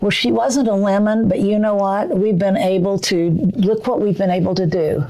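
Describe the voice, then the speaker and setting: A woman with an American accent speaks at a moderate pace and medium pitch, with ordinary pitch variation and very even loudness. The room echo is audible and the background noise noticeable. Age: 80s+. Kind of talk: casual chat.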